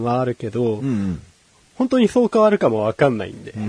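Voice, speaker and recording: With a dark, mellow tone and lively intonation, a man speaks in a dry, close sound with no echo. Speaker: show assistant, co-host. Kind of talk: casual chat.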